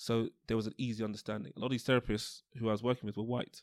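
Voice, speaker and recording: A man with a London accent talks very fast at a medium pitch in a monotone, flat delivery, with dry, close sound, no echo, and a very clean recording over a silent background. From London (Tottenham). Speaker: osteopath. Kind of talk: interview.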